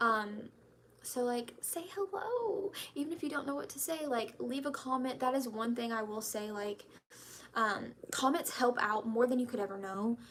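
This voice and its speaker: With noticeable background noise behind her, a woman speaks at a moderate pace in a high voice with lively intonation. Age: 20s. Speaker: YouTuber, betta fish breeder. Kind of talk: casual live stream chat. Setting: live stream from home laundry room.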